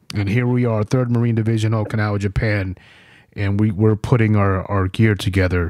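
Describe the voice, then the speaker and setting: A man with an American accent and a normal speaking voice, fairly low-pitched, at a fairly quick pace. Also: fairly even intonation, quiet background. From New York. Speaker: podcast host and Marine veteran. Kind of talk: casual interview and war storytelling.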